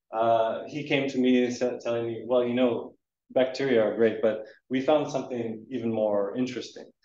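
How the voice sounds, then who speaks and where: A man with a Canadian accent speaks at medium pitch and a moderate pace, in a dark, mellow tone with monotone, flat intonation. Audible room echo surrounds his voice. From eastern Canada. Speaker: research scientist; presenter. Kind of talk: lecture. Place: hall.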